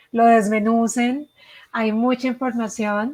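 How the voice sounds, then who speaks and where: Fairly high in pitch, a woman with a Colombian accent speaks at a very slow pace. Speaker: education consultant. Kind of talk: webinar presentation. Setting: live online session.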